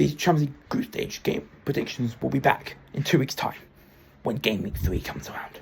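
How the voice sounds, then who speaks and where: A man is speaking. His pace is fairly quick. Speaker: football predictions YouTuber. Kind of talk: solo vlog monologue. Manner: fast; halting, self-correcting.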